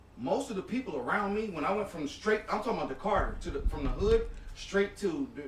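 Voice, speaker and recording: The man speaks at a fairly quick pace with a high pitch. Noticeable background noise can be heard behind him. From Peoria, Illinois. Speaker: podcast host. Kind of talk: casual chat. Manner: articulate.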